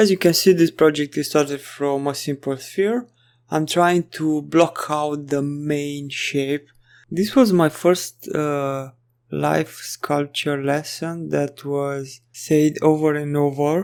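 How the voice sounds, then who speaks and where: Very slow speech from a man on a very clean recording with a silent background. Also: fairly high pitch for a man, fairly even intonation. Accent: non-native. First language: not English. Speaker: 3D artist tutorial creator. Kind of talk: tutorial. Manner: halting.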